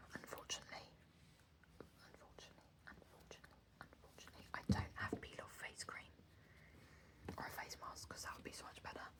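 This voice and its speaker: Someone whispers in an English accent at a very fast pace with long, frequent pauses over noticeable background noise. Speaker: ASMR creator. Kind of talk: casual chat to camera, ASMR. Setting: at home desk. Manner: casual, chatty; quiet, soft-spoken.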